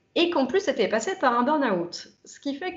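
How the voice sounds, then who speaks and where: A woman is speaking. Her intonation is lively. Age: 30s. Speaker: interviewee giving a client testimonial. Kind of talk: testimony interview. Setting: video interview. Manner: hesitant, many filler words.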